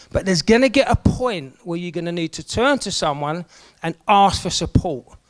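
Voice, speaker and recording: In a South London accent, a man speaks with a high pitch, an animated tone and lively intonation. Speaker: event MC. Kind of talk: motivational talk to group. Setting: room with live audience.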